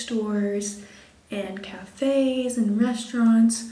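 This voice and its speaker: Soft-spoken and fairly even in intonation, a woman talks with audible room echo and noticeable background noise. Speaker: lifestyle vlogger. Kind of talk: casual vlog chat. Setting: hotel room.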